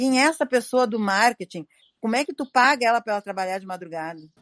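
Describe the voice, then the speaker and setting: A woman with a plain, everyday voice speaks at a fairly high pitch with lively intonation. The sound is dry and close with no echo, over a quiet background. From Rio Grande do Sul, Brazil (Campo Bom). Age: 60s. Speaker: retired shoe store owner. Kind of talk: life-story interview.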